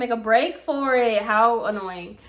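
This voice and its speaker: At a moderate pace, a woman talks in an animated tone with a fairly high pitch. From US, Puerto Rican heritage. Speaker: YouTuber, storyteller. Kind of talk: storytime, casual monologue.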